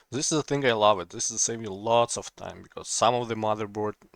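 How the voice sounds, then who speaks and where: A man with a non-native accent speaks at a fairly quick pace, the sound dry and close with no echo and music in the background. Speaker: laptop repair technician. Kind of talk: casual tutorial talk to camera.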